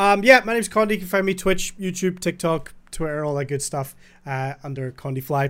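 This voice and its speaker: Over a silent background in a very clean recording, a man speaks with a high pitch and lively intonation. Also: fairly quick pace. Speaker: podcast host. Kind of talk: casual podcast chat.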